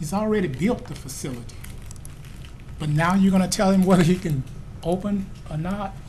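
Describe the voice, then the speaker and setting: A high-pitched man at a fairly quick pace, with ordinary pitch variation, long, frequent pauses, audible room echo and noticeable background noise. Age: 60s. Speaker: resident speaking at public hearing. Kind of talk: public hearing comment.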